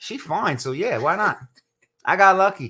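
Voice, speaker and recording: His tone comes across bright and sharp. The man has an American accent. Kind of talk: casual chat. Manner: loud.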